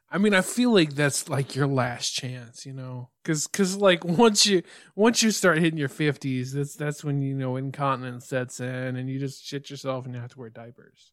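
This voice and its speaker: In a very clean recording with a silent background, a man with fairly high pitch and ordinary pitch variation talks at a moderate pace with hardly any pauses and big swings in loudness. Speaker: podcast co-host. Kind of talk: casual chat. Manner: halting.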